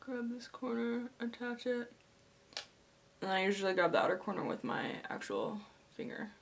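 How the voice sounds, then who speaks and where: Noticeable background noise sits behind a woman speaking at a moderate pace with fairly high pitch, fairly even intonation, and long, frequent pauses. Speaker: makeup tutorial creator. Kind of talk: makeup tutorial talk to camera. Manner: casual.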